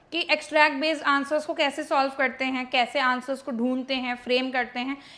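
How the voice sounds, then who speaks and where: A woman at a moderate pace uses a raised, projected voice. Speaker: English teacher. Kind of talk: tutorial. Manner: Hindi-English code-mixing.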